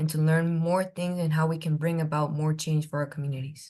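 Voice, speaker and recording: A woman with a Spanish accent speaks at a fairly quick pace in a monotone, flat intonation. Her very deep, low voice is somewhat breathy, with a dark, mellow tone. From Honduras. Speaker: community organizer. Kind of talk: interview.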